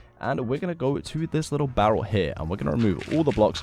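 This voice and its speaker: A man's voice with very wide pitch swings over music in the background. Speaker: Minecraft YouTuber. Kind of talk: tutorial. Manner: animated.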